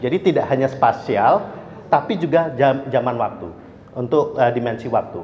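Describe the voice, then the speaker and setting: Here a man talks at a moderate pace with lively intonation. Audible room echo and noticeable background noise are present. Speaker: energy expert speaker. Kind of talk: lecture. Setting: restaurant event with audience.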